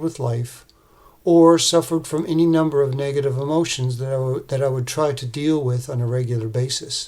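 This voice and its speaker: Somewhat breathy and fairly high for a man, his voice moves at a moderate pace with fairly even intonation. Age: 60s. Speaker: man in addiction recovery sharing his story. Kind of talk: prepared testimony. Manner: read from a script, even pace.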